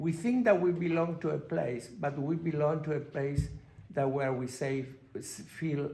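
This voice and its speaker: A man with a Spanish accent talks at a fairly slow pace, his fairly high, somewhat breathy voice carrying a dark, mellow tone and ordinary pitch variation amid audible room echo. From Argentina. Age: 60s. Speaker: panelist. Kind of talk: panel discussion. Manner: halting.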